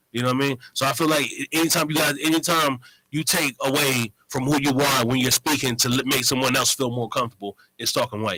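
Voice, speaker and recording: Speaking very fast with very even loudness and fairly even intonation, a man with a fairly high pitch is heard in a dry, close sound with no echo. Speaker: radio show guest. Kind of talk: casual chat.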